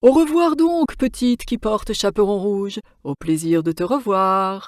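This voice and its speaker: In a very clean recording with a silent background, a put-on character voice at a fairly high pitch moves at a moderate pace. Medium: read story. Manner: sly, honeyed.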